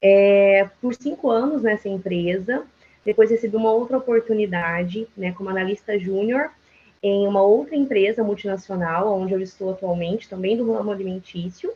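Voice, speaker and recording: With a medium pitch and ordinary pitch variation, a woman talks at a moderate pace. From Brazil, Mato Grosso do Sul (Dourados). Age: 20s. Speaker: psychologist, HR business partner. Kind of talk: panel talk, self-introduction. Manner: hesitant, many fillers.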